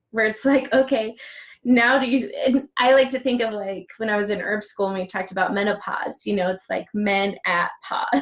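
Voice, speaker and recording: A woman with a plain, everyday voice speaks at a moderate pace, her pitch fairly high and her intonation fairly even. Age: 30s. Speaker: interviewer, healer. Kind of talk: interview.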